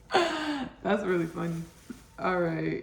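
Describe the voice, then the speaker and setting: Both noticeable background noise and audible room echo are present in the clip. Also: woman. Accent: American. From Texas, Austin. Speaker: home cook, cooking show host. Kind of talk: casual cooking tutorial. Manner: chatty, repetitive.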